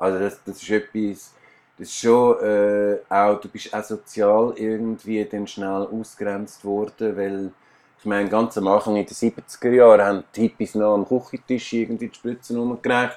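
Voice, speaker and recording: A man with fairly low pitch, fairly slow pace, monotone, flat intonation and big swings in loudness. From Switzerland, Aargau. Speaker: musician and painter. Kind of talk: interview. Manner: halting.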